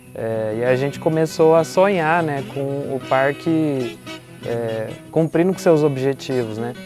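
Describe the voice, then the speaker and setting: Over background music, a man talks at a very slow pace with a fairly high pitch and ordinary variation in it. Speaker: collective member, university student, interviewee. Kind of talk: interview testimony. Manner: casual, conversational with fillers.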